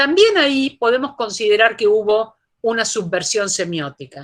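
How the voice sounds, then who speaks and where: A woman in a plain, everyday voice. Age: 60s. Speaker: philosophy professor. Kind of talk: lecture Q&A answer.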